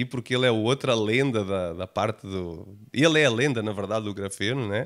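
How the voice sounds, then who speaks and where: Speaking with a Portuguese accent, a man moves at a fairly quick pace with ordinary pitch variation. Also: very clean recording, silent background. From Portugal. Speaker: technology company founder. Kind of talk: podcast interview.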